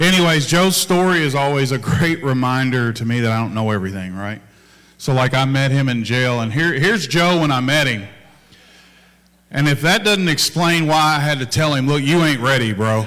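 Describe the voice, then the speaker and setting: Lively intonation marks a man's fairly high voice, delivered at a moderate pace with audible room echo. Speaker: pastor. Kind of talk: casual church remarks. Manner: loud.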